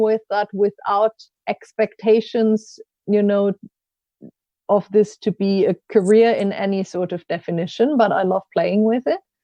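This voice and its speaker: In a German accent, a woman speaks with a fairly high pitch at a fairly slow pace. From Germany, rural village. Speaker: coach and learning consultant. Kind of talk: podcast interview.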